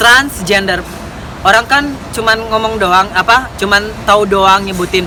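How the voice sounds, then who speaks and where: A woman at a medium pitch with a Medan accent, fairly slow, with ordinary pitch variation and noticeable background noise. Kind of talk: casual explanatory talk to camera. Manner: a bit fierce, joking.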